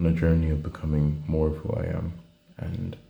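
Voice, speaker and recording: A quiet man's very deep, low voice with fairly even intonation and audible room echo. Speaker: student video diarist. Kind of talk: video diary monologue. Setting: indoors at night, traveling. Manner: halting.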